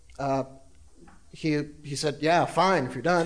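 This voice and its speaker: A fairly high-pitched man with an American accent at a moderate pace, with noticeable background noise. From South Carolina. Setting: stage with audience.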